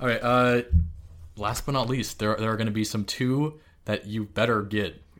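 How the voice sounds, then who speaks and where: A man speaks at medium pitch and a moderate pace in an unremarkable speaking voice with fairly even intonation. The recording is very clean with a silent background. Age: 30s. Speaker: video game podcast co-host. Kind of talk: casual chat.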